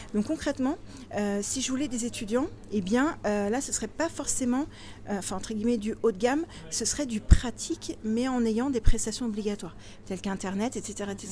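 A woman speaks at a fairly high pitch with a dark, mellow tone, ordinary pitch variation and a somewhat breathy quality. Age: 40s. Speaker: property investor and blogger. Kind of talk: interview. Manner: animated.

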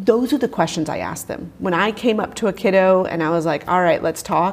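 Here a woman uses a plain, everyday voice, speaking at a moderate pace with ordinary pitch variation. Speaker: science teacher and instructional specialist. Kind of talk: interview. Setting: conference.

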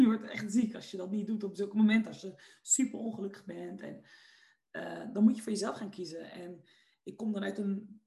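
The voice is dark and mellow, somewhat breathy, with ordinary pitch variation. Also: woman. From Netherlands, Westland (South Holland). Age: 20s. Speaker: entrepreneur and personal development coach. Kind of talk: podcast interview. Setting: video call.

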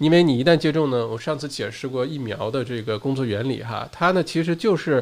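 At a fairly quick pace, a normal speaking voice talks with ordinary pitch variation. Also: man, medium pitch for a man. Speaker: podcast host and livestreamer. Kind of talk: solo livestream talk and news update. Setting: live stream. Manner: casual, with frequent fillers.

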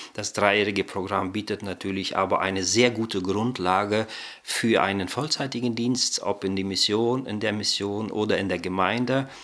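An unremarkable speaking voice, this man's is fairly low, with fairly even intonation at a moderate pace. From Germany, came from Kazakhstan as child. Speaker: bible college director of studies. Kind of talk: interview.

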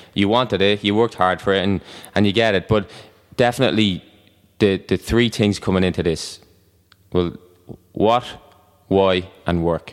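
Speaking with a Dublin accent, a man uses a fairly low voice at a moderate pace, with fairly even intonation, very even loudness and long, frequent pauses. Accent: Irish (Dublin). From Ireland (Dublin). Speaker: personal trainer and gym owner. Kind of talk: casual chat. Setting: studio.

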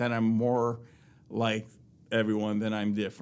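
Here a man talks at a medium pitch and a moderate pace. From US, moved often; teen years in Virginia Beach. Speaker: father sharing parenting story. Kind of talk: casual interview. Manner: halting, many repetitions.

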